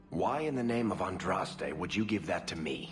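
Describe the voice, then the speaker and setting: Over clear music in the background, a man does a put-on character voice at a fairly low pitch with very wide pitch swings. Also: moderate pace. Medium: machinima. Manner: wry, joking.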